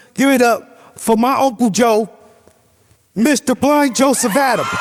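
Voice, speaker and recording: At a moderate pace with long, frequent pauses, a man speaks at an extremely high pitch and a very even loudness. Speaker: show producer and emcee. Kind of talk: stand-up show introduction. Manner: stuttering.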